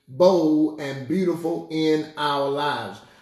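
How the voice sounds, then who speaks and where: Audible room echo surrounds a man talking at a fairly slow pace with fairly even intonation. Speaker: pastor. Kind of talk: sermon-style introduction. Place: home room. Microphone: phone near.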